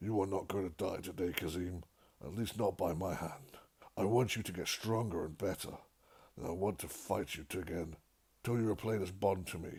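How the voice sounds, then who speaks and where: Doing a raspy, put-on character voice, a man talks at a moderate pace with a very deep, low pitch. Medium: read story.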